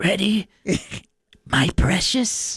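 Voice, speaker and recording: This is a put-on character voice at a middle pitch. It sounds raspy. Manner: creepy.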